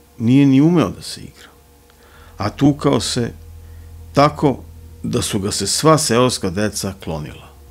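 A man speaks in a dramatic tone at a fairly slow pace and a medium pitch, with long, frequent pauses, very wide pitch swings, big swings in loudness, and faint music in the background. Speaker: audiobook narrator. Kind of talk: literary audiobook reading of a crime novel, ASMR-style bedtime storytelling. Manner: soft, hushed ASMR narration; slow, measured, dramatic literary delivery. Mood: dark, ominous storytelling. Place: studio. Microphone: studio mic.

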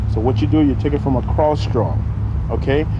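A man speaking at a fairly quick pace, dry with no echo, over noticeable background noise. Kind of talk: demonstration explaining equipment to children. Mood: friendly, patient. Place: open country.

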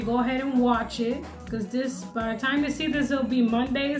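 Her voice sits high in pitch. Clear music plays behind the woman. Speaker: food vlogger. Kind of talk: casual vlog chat. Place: home room. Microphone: phone near.

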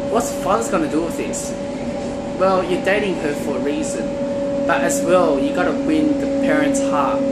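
A man talks at a moderate speed through loud noise in the background. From China. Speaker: vlogger giving relationship advice. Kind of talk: casual talk to camera. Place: train. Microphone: phone near.

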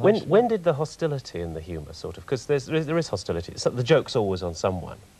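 A man speaks at a very fast pace with vocal fry. His tone is dark and mellow, and his pitch swings very widely. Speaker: TV psychologist, interviewer. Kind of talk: TV interview questions. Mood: probing, measured. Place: studio. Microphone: lapel.

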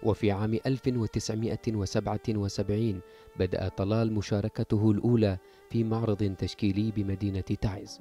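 Over music in the background, a man speaks at a fairly slow pace with a fairly low pitch and monotone, flat intonation. The sound is dry and close with no echo, and his loudness stays very even. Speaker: journalist. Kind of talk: TV news report voice-over.

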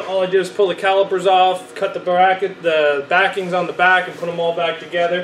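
Light background noise and audible room echo fill the space. A man speaks there at a moderate pace. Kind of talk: casual vlog chat. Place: garage. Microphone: phone near.

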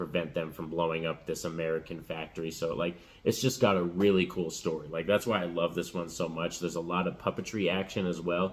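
The speaker is a man with fairly even intonation. He talks at a fairly quick pace. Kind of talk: casual vlog chat. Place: home room. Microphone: phone near.

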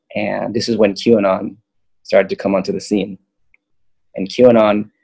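A man with an American accent talks at a moderate pace against a quiet background. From Southern California. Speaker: yogi and spiritual map creator; guest, map creator. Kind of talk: casual chat. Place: home room. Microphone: webcam.

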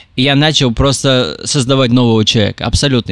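This man's voice sits at a medium pitch. He talks very fast. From Russia. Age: 20s. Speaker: TikTok creator. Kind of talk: interview.

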